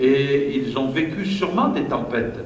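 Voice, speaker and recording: The voice shows ordinary pitch variation, with audible room echo and noticeable background noise. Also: man. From southern France, Marseille. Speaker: pastor. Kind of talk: sermon. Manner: hesitant, frequent fillers and repetitions.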